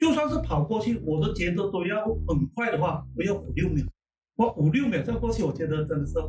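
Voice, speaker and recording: The man's pitch swings very widely. He speaks at a fairly quick pace. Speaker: host's father, temple devotee. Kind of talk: casual storytelling interview.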